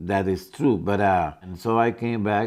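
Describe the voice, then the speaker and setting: The speaker has a Spanish accent and ordinary pitch variation. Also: man, quiet background. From northern Mexico, Coahuila. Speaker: Korean War veteran. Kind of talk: interview testimony.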